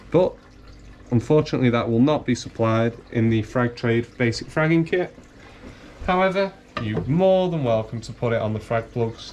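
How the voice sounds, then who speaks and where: A man with a northern English accent talks at a moderate pace in a medium pitch with lively intonation over noticeable background noise. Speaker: coral seller demonstrating fragging. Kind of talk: tutorial. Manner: casual.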